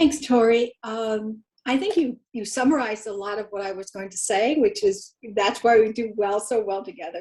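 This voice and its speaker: A woman talks in a normal speaking voice, fairly high in pitch, at a moderate pace. Her loudness swings widely while her pitch varies in an ordinary way. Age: 60s. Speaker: program participant. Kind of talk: testimony.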